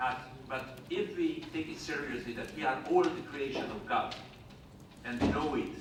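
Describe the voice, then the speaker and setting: A man talks at a moderate pace. There is audible room echo and noticeable background noise. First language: not English. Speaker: event chair at parliament conference. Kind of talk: conference speech. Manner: halting.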